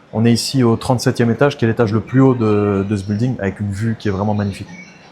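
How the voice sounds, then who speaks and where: Over music in the background, a man speaks at a very fast pace. His pitch varies in an ordinary way. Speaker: real estate agent. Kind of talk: property tour video. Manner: soft-spoken.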